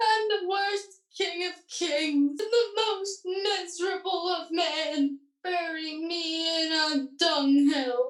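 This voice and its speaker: At a very slow pace, a put-on character voice speaks at an extremely high pitch. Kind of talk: radio comedy play acting. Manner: mournful, melodramatic.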